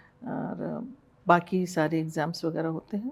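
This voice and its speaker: This woman's tone is dark and mellow. Her pitch varies in an ordinary way. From Jaipur, Rajasthan, India (born in Burma). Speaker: hospital managing director. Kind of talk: interview.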